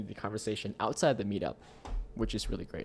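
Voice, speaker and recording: A man with a fairly low pitch talks in a Vietnamese accent. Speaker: tech live streamer. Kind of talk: live stream chat. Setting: live stream. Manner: casual, many fillers.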